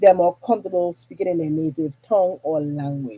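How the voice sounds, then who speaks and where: Delivered at a fairly quick pace, the speech comes with an American accent. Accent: Virgin Islands accent, switches in and out. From US Virgin Islands, St. Thomas. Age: 40s. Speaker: podcast host. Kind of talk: casual monologue. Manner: casual, chatty.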